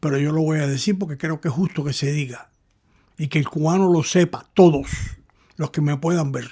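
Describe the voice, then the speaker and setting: A man is talking. His pitch is fairly high, with ordinary pitch variation. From Cuba. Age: 80s+. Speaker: commentator. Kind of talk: monologue commentary.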